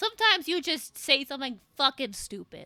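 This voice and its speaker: A woman speaks with a high pitch, a raised, projected voice and a bright, sharp tone, her pitch swinging very widely at a fairly quick pace in a dry, close sound with no echo. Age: 20s. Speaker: VTuber streamer. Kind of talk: casual live stream chat. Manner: animated.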